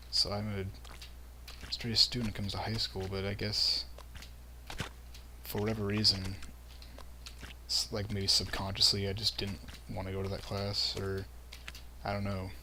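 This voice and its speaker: Against noticeable background noise, a man with a fairly low pitch and lively intonation speaks at a moderate pace, taking long, frequent pauses. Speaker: gaming commentator. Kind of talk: casual gameplay commentary. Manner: words run together.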